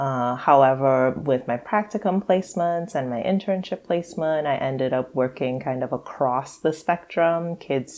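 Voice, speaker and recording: A woman speaks with a very deep, low pitch and lively intonation in a Trinidadian accent. Her pace is fairly slow, with hardly any pauses. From Trinidad and Tobago. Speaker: psychologist and financial therapist. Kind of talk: podcast interview.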